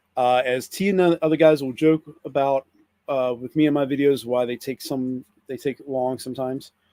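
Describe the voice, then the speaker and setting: A dark, mellow tone with an American accent and fairly even intonation, dry and close with no echo. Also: man, medium pitch for a man, moderate pace. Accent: Pennsylvania Dutch accent, occasional. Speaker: toy collector YouTuber. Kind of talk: casual live stream chat. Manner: halting, many fillers and restarts.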